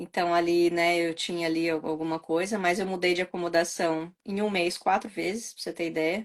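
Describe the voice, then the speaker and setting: A woman with an ordinary speaking voice and a fairly low pitch talks at a moderate pace with fairly even intonation. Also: hardly any pauses. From Brazil. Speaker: channel host, Brazilian emigrant. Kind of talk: casual conversation.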